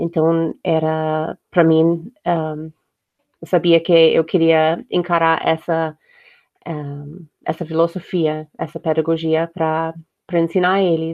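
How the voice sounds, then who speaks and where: A woman with an English accent speaks very slowly in a fairly low, monotone voice with flat intonation. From United States. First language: English (speaking Portuguese). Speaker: homeschooling mother. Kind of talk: casual chat. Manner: hesitant, many fillers.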